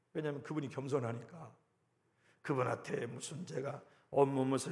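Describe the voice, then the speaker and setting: Somewhat breathy and dark, mellow in tone, a man speaks at a fairly high pitch with fairly even intonation amid audible room echo. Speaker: pastor. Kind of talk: sermon.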